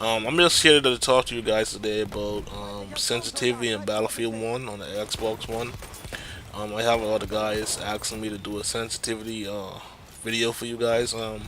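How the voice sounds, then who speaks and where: Amid noticeable background noise, a man speaks in a medium pitch at a moderate pace with monotone, flat intonation. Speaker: gaming youtuber. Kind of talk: tutorial. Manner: hesitant, many fillers.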